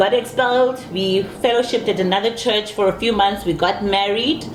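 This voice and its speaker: Speaking at a moderate pace, a woman uses an animated tone and medium pitch. Audible room echo and noticeable background noise surround her. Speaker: married guest. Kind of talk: interview. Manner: loud.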